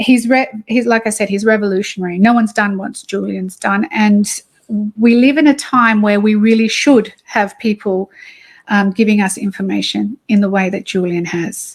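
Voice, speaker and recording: A woman with an Australian accent speaks at a fairly high pitch in a somewhat breathy voice, her intonation fairly even, on a very clean recording with a silent background. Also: moderate pace. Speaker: activist. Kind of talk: interview. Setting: cafe, livestream. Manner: hesitant, many fillers.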